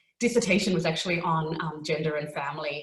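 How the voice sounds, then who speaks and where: A woman with an Australian accent speaks in a fairly low pitch. Noticeable background noise and audible room echo surround her voice. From Australia, Melbourne. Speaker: lawyer and parent speaker. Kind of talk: webinar talk. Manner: frequent filler words (um).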